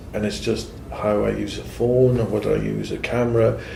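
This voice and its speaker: Audible room echo surrounds the man as he talks at a moderate rate. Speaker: IT manager. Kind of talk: interview.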